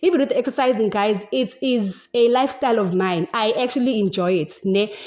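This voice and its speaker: A woman's animated tone at a fairly quick pace. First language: Zulu. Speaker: podcast host. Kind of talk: casual chat. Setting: home, windows and door open.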